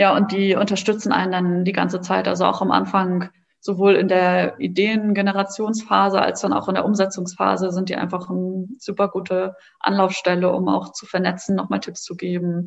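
This woman talks at a moderate pace and medium pitch, her intonation monotone and flat. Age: 20s. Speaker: social entrepreneur, co-founder of a card game startup. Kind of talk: interview. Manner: hesitant, many filler words.

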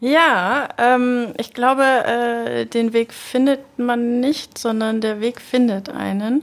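Speaking at a very slow pace, a woman uses a high pitch and fairly even intonation. She leaves hardly any pauses. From Nuremberg, Franconia, Germany. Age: 30s. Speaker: production music specialist. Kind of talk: interview.

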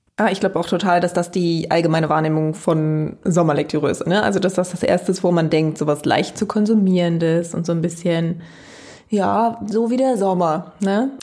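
Very even in loudness, a woman with fairly low pitch talks at a moderate pace with ordinary pitch variation. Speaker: podcast co-host, university lecturer. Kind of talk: casual chat.

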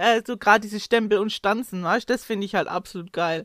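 A woman's fairly high, bright, sharp voice at a fairly quick pace, in a dry, close sound with no echo. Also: very clean recording, silent background. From Hohenlohe, Baden-Württemberg. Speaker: craft demonstrator. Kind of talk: casual chat.

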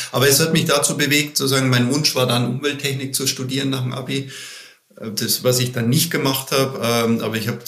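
A man at medium pitch, fairly even in intonation and moderate in pace, with audible room echo and noticeable background noise. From Bavaria, Germany. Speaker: management consultant. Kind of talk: interview. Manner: halting, many fillers.

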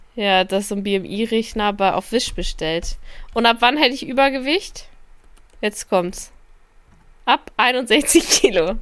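A woman speaks at a very slow pace, with long, frequent pauses. Her fairly high voice has lively intonation. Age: 20s. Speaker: podcast co-host, social media worker. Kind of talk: casual chat.

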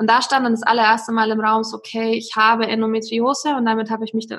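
Speaking at a fairly quick pace, a woman uses a fairly high pitch. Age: 30s. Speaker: wellbeing coach and wedding photographer. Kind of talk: personal testimony in interview.

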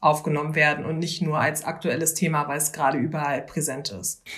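Very deep, low female speech, delivered fairly quickly. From Berlin, Germany. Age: 20s. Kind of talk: interview.

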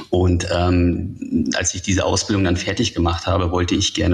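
A man speaks in a very deep, low pitch with fairly even intonation. Noticeable background noise can be heard. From northern Germany. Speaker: tech journalist. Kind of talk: interview.

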